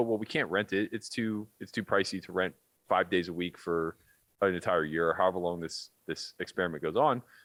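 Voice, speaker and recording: A man talks at a fairly quick pace in an American accent. His tone is animated, and the recording is very clean with a silent background. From Pittsburgh, US. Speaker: poker pro and podcast host. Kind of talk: casual podcast chat. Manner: animated, inflects a lot; loud.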